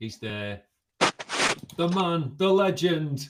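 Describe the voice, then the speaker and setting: With a Liverpool accent, a man talks in very wide pitch swings. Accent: Liverpool (Scouse). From Liverpool, England. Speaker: cybersecurity executive. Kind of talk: casual chat.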